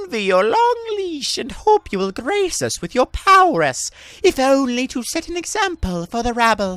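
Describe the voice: In a strained, high-pitched put-on character voice, the speaker moves at a moderate pace with very wide pitch swings.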